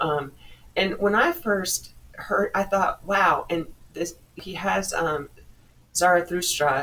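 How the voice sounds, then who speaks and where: With noticeable background noise behind her, a woman talks at a fairly slow pace. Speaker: podcast host discussing rap music. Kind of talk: casual monologue. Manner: halting, many fillers; stutters when flustered.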